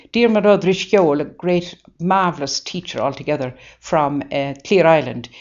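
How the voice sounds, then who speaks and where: With a Waterford accent, a woman speaks at a fairly low pitch. Her pace is moderate and her pitch variation ordinary. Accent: Irish, Waterford. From Ireland, County Waterford. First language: Irish. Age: 80s+. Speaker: nun. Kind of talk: interview. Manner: halting; animated.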